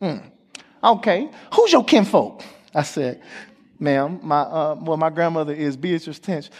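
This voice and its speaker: Animated in tone, a man with a high pitch and an American accent speaks with long, frequent pauses. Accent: country twang. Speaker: guest preacher. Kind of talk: sermon. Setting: church stage with audience.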